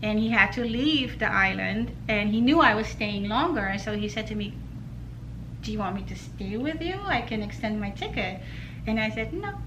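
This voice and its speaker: With noticeable background noise and audible room echo, a woman speaks at a moderate pace. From Netherlands. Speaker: knitting designer. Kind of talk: casual chat.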